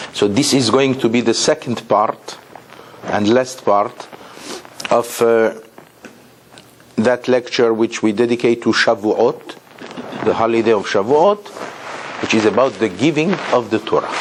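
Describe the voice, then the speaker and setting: A man speaks at a medium pitch and a fairly slow pace, with ordinary pitch variation and very even loudness. Long, frequent pauses break up his speech over noticeable background noise. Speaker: rabbi, Torah teacher. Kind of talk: lecture.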